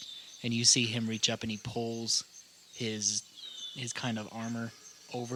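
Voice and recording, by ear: Someone reads aloud, using a natural voice.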